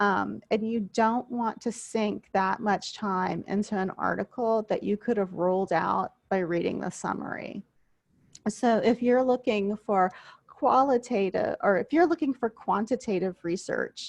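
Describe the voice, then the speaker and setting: With an American accent, a woman speaks in an unremarkable speaking voice at a fairly high pitch, the sound dry and close with no echo. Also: ordinary pitch variation, fairly slow pace, quiet background. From US South, coastal southwest Louisiana (Vermilion Parish). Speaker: university instructor. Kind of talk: online class lecture. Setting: video call.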